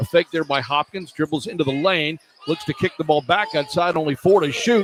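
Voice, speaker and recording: Here a man speaks at a fairly quick pace and a fairly high pitch. His pitch varies normally, with noticeable background noise behind him. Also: dry, close sound with no echo. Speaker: radio play-by-play announcer. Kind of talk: live college basketball radio play-by-play. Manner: fast, fluent.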